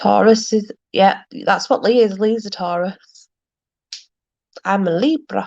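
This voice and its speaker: Delivered at a fairly slow pace in a South Yorkshire accent, the speech has long, frequent pauses. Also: woman, medium pitch for a woman, ordinary pitch variation. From South Yorkshire, Barnsley. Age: 30s. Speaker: livestream host. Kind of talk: casual chat.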